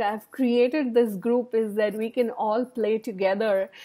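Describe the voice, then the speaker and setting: At a fairly slow pace, a woman speaks in a dark, mellow tone with ordinary pitch variation over a quiet background. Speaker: wellness coach. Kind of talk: casual vlog chat. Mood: warm, encouraging. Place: home room. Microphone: earbuds.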